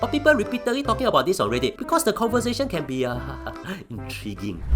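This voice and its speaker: With music in the background, the speech races along at a very fast pace. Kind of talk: explainer narration to camera. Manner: casual, joking.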